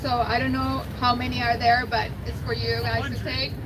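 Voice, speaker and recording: Spoken with a Mexican accent, the clip carries noticeable background noise and audible room echo. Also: woman. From Mexico. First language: Spanish. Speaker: environmental nonprofit outreach manager, biologist. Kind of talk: rally speech.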